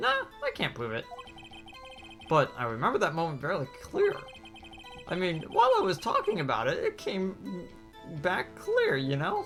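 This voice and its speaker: A put-on character voice talks at a moderate pace with long, frequent pauses. Clear music sounds in the background. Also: man. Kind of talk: comic overacting. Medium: game stream. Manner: slangy, whiny, defensive.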